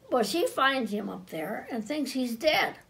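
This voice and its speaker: A woman speaks with a high pitch. Her voice moves through very wide pitch swings. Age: 80s+. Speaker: local historian. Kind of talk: oral history storytelling. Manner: halting, conversational.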